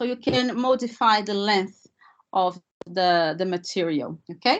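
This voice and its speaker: A woman with a non-native accent speaks at a fairly slow pace, her medium pitch carried by lively intonation. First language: not English. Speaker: language teacher trainer. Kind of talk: webinar presentation. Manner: hesitant, many fillers.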